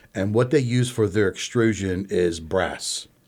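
This man has a normal speaking voice, fairly low in pitch, with ordinary pitch variation. He talks at a fairly slow pace. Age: 60s. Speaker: pasta maker and small business owner. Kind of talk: interview.

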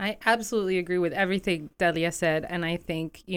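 A woman with an American accent has an ordinary speaking voice, fairly even intonation and a moderate pace. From Bethlehem, Pennsylvania, US. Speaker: community development director. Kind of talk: radio interview.

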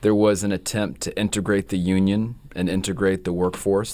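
A fairly low-pitched man speaks with a Southern US accent in a monotone, flat intonation. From North Carolina, Gastonia. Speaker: novelist. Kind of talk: interview. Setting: radio studio.

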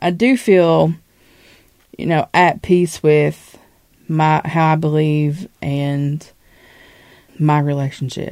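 A woman talks very slowly, with long, frequent pauses. Her voice is very deep and low, dark and mellow in tone, with ordinary pitch variation. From Eastern Kentucky. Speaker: poet. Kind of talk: interview. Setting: radio studio.

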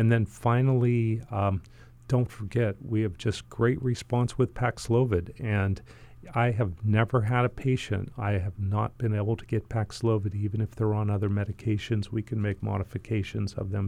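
Fairly low in pitch, this man's voice has a dark, mellow tone. His intonation stays fairly even. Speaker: family medicine doctor. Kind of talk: radio interview. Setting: studio.

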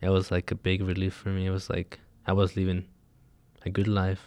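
A man speaks at a moderate pace in a very deep, low voice with a dark, mellow tone. The recording is very clean, with a silent background. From Mexico. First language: Spanish. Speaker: undocumented immigrant. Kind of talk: interview.

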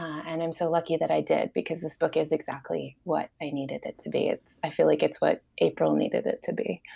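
The speaker has an American accent. The pace is fairly quick with hardly any pauses. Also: woman, dry, close sound with no echo. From New York area. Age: 40s. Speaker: novelist. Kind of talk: interview.

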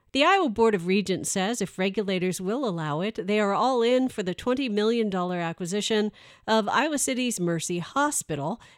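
An unremarkable speaking voice at a moderate pace carries lively intonation, with a dry, close sound, no echo, a very clean recording and a silent background. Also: woman. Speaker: public radio news anchor. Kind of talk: news reading, scripted radio newscast. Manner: formal; steady, even-paced.

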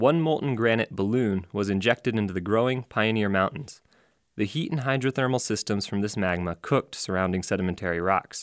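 A man with an unremarkable speaking voice, fairly low in pitch and fairly quick in pace, in a very clean recording with a silent background and a dry, close sound with no echo. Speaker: radio essayist and geology teacher. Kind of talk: scripted nature documentary narration, read aloud as a radio essay. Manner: measured, calm, even-paced and formal, with a vivid storytelling lilt; clearly enunciated with authoritative, educational tone.

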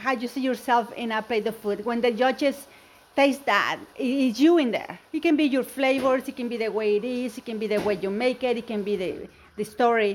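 A woman with a Spanish accent, high in pitch, at a fairly quick pace. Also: ordinary pitch variation. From Mexico. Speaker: home cook and cooking competition winner. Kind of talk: radio interview about cooking.

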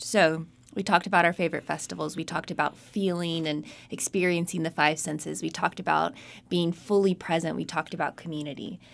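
A woman with an American accent speaks very fast at a fairly low pitch, with vocal fry. Her intonation is fairly even, and the recording is very clean with a silent background. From Charlotte, North Carolina. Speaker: podcast co-host. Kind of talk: casual chat. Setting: studio.

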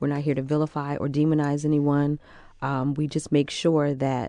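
The voice has a dark, mellow tone and an American accent. It moves at a moderate pace. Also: woman. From Newark, New Jersey (South Ward). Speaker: domestic violence social worker. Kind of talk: panel discussion on public radio. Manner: measured, filler-heavy with frequent 'um'.

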